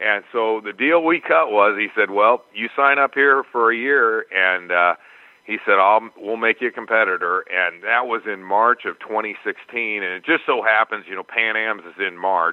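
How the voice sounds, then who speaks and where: Hardly pausing, a man talks at a moderate pace in a plain, everyday voice. His medium pitch shows ordinary variation. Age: 60s. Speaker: Brazilian jiu-jitsu purple belt competitor. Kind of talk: interview answer.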